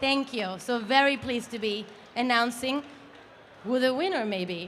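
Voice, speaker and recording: A woman with a high voice speaks at a moderate pace with ordinary pitch variation, her voice carrying audible room echo over noticeable background noise. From Italy. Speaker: company founder and CEO. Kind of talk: awards presentation speech. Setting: stage with live audience.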